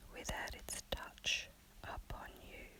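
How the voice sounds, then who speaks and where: The speaker whispers. Behind the whisper there is noticeable background noise. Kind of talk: spiritual lesson reading for sleep. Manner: whispered.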